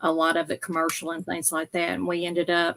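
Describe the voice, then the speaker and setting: A woman speaks with a Southern US accent at a fairly low pitch. The sound is dry and close, without echo. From US South, Memphis area. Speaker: reseller. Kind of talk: casual chat.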